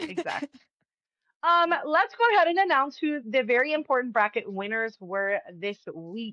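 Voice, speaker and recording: A woman speaks in a raised, projected voice at a high pitch and moderate pace, her tone animated with very wide pitch swings. The sound is dry and close, with no echo. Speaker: podcast co-host. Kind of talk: casual chat.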